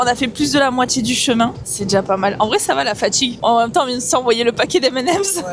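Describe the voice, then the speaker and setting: A woman speaks at a fairly quick pace in a high pitch with lively intonation. Noticeable background noise can be heard. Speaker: vlogger. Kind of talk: casual vlog chat. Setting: on a sailboat at sea.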